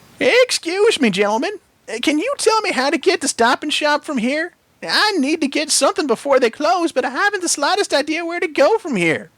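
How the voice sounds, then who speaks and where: A man does a put-on character voice at an extremely high pitch. He talks at a fairly quick pace. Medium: read story. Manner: polite, gentle.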